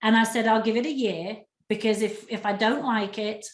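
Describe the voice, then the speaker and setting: A woman speaks with an English accent at a fairly high pitch. Audible room echo surrounds her voice. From England. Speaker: relocation specialist, interviewer. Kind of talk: interview conversation.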